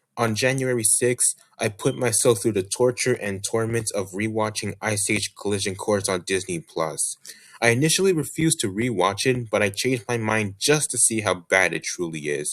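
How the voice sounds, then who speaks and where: In a very clean recording with a silent background, a man with a fairly low pitch speaks with lively intonation. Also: moderate pace. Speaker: YouTuber reviewing media. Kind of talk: scripted year-in-review monologue. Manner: steady, no long pauses.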